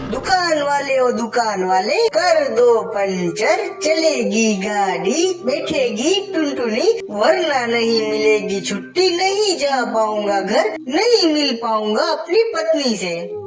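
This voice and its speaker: A female-sounding, cartoonish character voice, high-pitched, speaks at a very slow pace. Loud background noise runs underneath. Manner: earnest, pleading.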